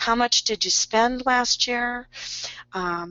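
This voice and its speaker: This woman talks very slowly, her pitch varying in an ordinary way. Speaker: health insurance specialist and educator. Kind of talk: webinar presentation. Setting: online webinar. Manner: hesitant with many fillers.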